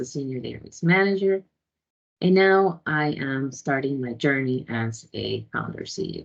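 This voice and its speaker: A woman's very deep, low voice in a Spanish accent, with ordinary pitch variation. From Ecuador. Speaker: database administrator and tech founder. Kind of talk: conference talk. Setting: video call.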